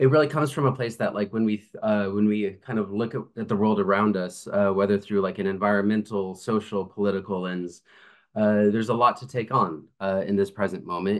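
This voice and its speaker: Over a quiet background, a man with an unremarkable speaking voice talks at a fairly quick pace, his fairly low pitch held in fairly even intonation. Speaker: remote guest lecturer. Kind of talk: lecture. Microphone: video call.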